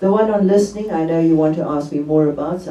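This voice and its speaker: A woman's very deep, low voice at a fairly quick pace, with ordinary pitch variation, audible room echo and noticeable background noise. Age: 80s+. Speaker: theologian and author. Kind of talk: book talk interview.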